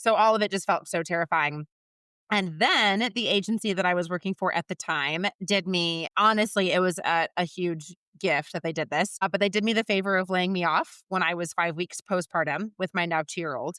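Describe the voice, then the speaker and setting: A woman speaks loudly at a moderate pace and medium pitch, with ordinary pitch variation and a bright, sharp tone. The sound is dry and close with no echo, in a very clean recording with a silent background. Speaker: recruiter and business founder. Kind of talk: podcast interview. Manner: animated.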